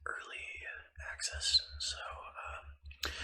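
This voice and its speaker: A man whispering over noticeable background noise. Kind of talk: ASMR gaming ramble. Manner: whispered; rambling, casual.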